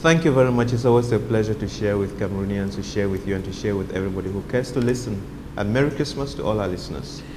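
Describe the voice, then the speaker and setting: A man talks very fast at a fairly low pitch with ordinary pitch variation. Noticeable background noise and audible room echo surround him. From Cameroon, Donga Mantung (North West). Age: 60s. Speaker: medical doctor. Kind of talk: interview.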